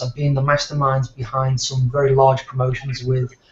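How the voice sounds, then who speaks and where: A man with a British accent, fairly high-pitched and monotone in a flat delivery, at a fairly quick pace amid noticeable background noise. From United Kingdom. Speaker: business owner and marketer. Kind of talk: online presentation.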